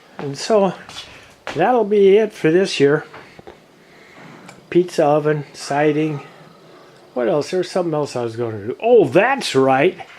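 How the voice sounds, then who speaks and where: A man with a fairly high voice speaks at a fairly slow pace, leaving long, frequent pauses over noticeable background noise. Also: lively intonation. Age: 70s. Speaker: vlogger. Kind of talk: casual video tour narration. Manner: halting.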